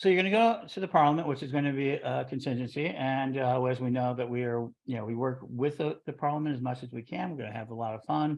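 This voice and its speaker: A man talks in a Chicago accent at medium pitch. His pace is fairly quick, and the background is quiet. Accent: Chicago accent, noticeable. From US Midwest, Chicago. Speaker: interview show host, religious order leader. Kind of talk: casual interview.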